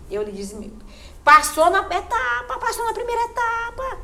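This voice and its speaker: Room echo is audible as a woman talks at a moderate pace. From Maranhão, Brazil (Munim region, interior). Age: 60s. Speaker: cultural group leader and community leader. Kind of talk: interview testimony.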